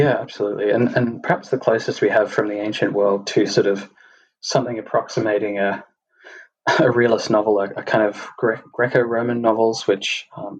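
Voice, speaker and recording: A man at a fairly quick pace, with an Australian accent and monotone, flat intonation. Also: medium pitch for a man. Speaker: podcast host. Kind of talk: casual chat. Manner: halting, many fillers and repetitions.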